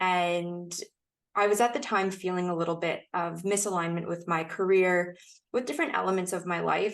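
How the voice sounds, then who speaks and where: Over a quiet background, a woman with an American accent speaks in a plain, everyday voice at a fairly low pitch. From United States. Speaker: podcast guest sharing sobriety story. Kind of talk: casual interview chat.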